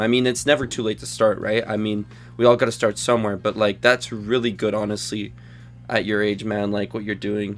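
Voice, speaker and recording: This is a man with a fairly low pitch. He has a plain, everyday voice. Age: 20s. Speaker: podcast host. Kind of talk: casual chat. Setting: online group call.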